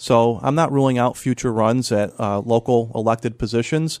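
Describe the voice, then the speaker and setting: With an American accent and ordinary pitch variation, a man speaks at a medium pitch on a very clean recording with a silent background and a dry, close sound with no echo. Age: 40s. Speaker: former congressman. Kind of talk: radio interview. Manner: halting, repeats words.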